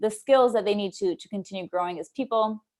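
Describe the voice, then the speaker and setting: A woman talks with ordinary pitch variation. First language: not English. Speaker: people operations lead and remote work coach. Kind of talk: webinar presentation. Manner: hesitant with many fillers.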